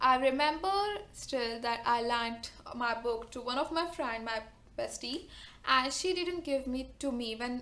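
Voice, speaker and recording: A woman with an Indian accent speaks in a raised, projected voice with a high pitch and a bright, sharp tone. Her pace is fairly slow, and her pitch variation is ordinary. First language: not English. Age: 20s. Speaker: book vlogger. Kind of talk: casual talk to camera. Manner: nervous.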